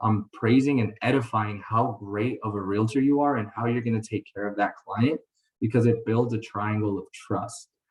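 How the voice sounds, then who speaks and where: A moderate pace carries the speech along. The delivery is somewhat breathy, and the intonation stays fairly even. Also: man. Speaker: mortgage lender giving training to realtors. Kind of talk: webinar training presentation. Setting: online call.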